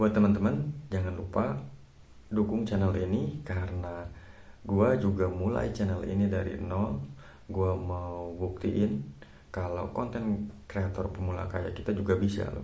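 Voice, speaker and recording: A man with a very deep, low voice speaks at a fairly slow pace, somewhat breathy and dark and mellow in tone, with ordinary pitch variation and audible room echo. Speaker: YouTuber. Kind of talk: vlog tutorial. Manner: casual, halting with fillers.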